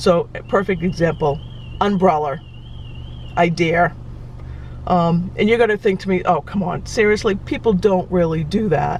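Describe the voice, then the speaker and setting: A woman in a Boston accent, fairly low in pitch, ordinary pitch variation, moderate pace, long and frequent pauses, noticeable background noise. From Boston area, Massachusetts. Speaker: travel vlogger. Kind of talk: casual vlog talk. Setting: in a car. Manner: hesitant, many fillers.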